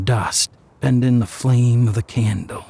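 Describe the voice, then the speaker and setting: Noticeable background noise accompanies a man who talks at a fairly slow pace. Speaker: audiobook narrator. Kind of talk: horror story narration.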